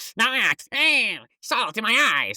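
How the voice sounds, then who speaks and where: This put-on character voice sits at a high pitch. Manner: silly, panicked.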